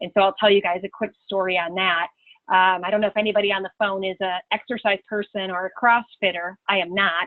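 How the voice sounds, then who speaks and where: A woman's medium-pitched voice with a Chicago accent, fairly quick and monotone, with flat intonation. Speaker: change management consultant and trainer. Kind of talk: webinar presentation. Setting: webinar call.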